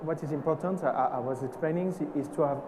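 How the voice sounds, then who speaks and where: Amid noticeable background noise and audible room echo, a man with a French accent talks at a fairly quick pace and a fairly high pitch. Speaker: perfumer. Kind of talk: panel discussion. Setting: stage with audience. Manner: halting.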